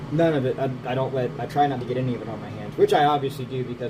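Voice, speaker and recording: A man is speaking over noticeable background noise. Room echo is audible. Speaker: bait maker. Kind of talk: casual tutorial. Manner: casual, rambling chatter.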